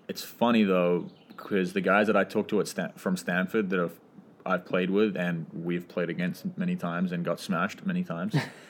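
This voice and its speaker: In a New Zealand accent, a man speaks at a very deep, low pitch with monotone, flat intonation. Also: fairly quick pace. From New Zealand, Auckland. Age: 20s. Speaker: professional soccer player. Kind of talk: casual chat.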